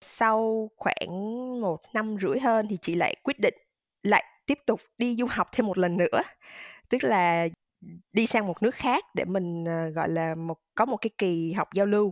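A woman's unremarkable speaking voice at a medium pitch with ordinary pitch variation, a fairly slow pace, and a dry, close sound with no echo. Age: 30s. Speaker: digital marketing manager. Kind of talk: interview.

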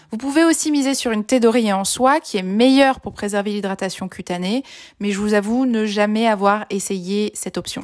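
A woman speaks at a moderate pace with ordinary pitch variation. The recording is very clean, with a silent background. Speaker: beauty blogger and podcaster. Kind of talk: short advice podcast monologue. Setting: recording at home during lockdown.

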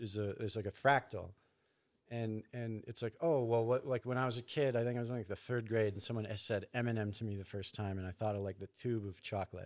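Pitched at a medium level, a man with a Canadian accent uses a plain, everyday voice and ordinary pitch variation. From Canada, Thunder Bay, Ontario. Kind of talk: casual chat.

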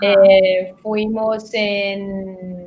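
A woman speaks with a Portuguese accent. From southern Brazil, Porto Alegre. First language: Portuguese (speaking Spanish). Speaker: documentary film director. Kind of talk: interview.

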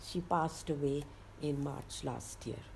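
Vocal fry runs through a woman's very deep, low voice. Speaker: entrepreneur. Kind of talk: interview storytelling. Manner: animated, laughing.

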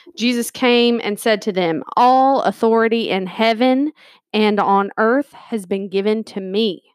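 An unremarkable speaking voice moves at a fairly slow pace with ordinary pitch variation, recorded very cleanly over a silent background with a dry, close sound and no echo. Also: woman, fairly high pitch for a woman. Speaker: podcast co-host. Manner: informal, jokey.

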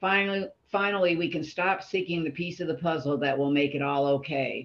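Her voice is fairly low in pitch, with ordinary pitch variation. This woman has an American accent. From Florida panhandle. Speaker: recovery group member. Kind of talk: casual group discussion.

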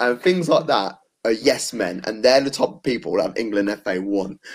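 A man speaks in an unremarkable speaking voice. His pace is fairly slow and his intonation lively. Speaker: football show host. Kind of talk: casual football debate chat. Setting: live video show.

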